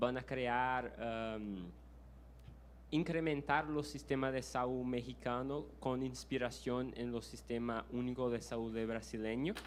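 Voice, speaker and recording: A man speaks very slowly with fairly even intonation, in a Brazilian accent. Room echo is audible. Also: medium pitch for a man. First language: Portuguese (speaking Spanish). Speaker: audience member asking a question. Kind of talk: Q&A question at a lecture. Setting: university auditorium. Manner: halting, many fillers and restarts.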